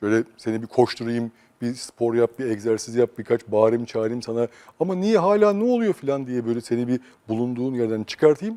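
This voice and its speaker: Talking at a fairly quick pace, a man with a medium pitch and a dark, mellow tone shows ordinary pitch variation in a dry, close sound with no echo. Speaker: psychosociologist. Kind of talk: interview. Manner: calm, quiet.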